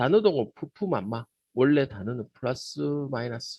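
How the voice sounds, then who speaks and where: With a Gyeongsang accent, a man speaks at a medium pitch with lively intonation and a somewhat breathy voice, recorded dry and close with no echo. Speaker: teacher trainer. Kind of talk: lecture. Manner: casual, conversational.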